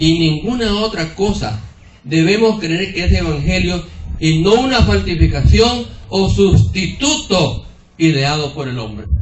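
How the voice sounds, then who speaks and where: A man's fairly high voice at a fairly slow pace with very wide pitch swings, amid audible room echo and noticeable background noise. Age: 70s. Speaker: preacher. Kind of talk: sermon. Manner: repetitive, rhetorical questions to audience.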